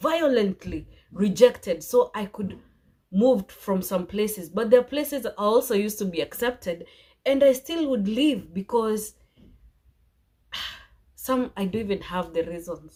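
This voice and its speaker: Somewhat breathy and fairly high, a woman's voice moves at a moderate pace with lively intonation. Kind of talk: casual talk to camera.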